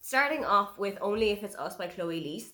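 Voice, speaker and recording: A woman in an Irish accent, at a moderate pace, with very wide pitch swings. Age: 30s. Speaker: book reviewer. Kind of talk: casual review monologue.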